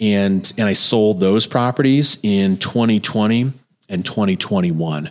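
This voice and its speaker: An ordinary speaking voice: a man with an American accent, fairly low pitch with ordinary variation, a fairly slow pace and very even loudness. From New Jersey. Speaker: real estate investor and podcast host. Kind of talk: podcast monologue.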